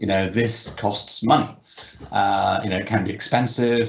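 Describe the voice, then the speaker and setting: Over noticeable background noise, a man with a British accent and fairly low pitch speaks at a moderate pace. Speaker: technology company representative. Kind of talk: panel discussion. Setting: virtual event. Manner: hesitant, many fillers.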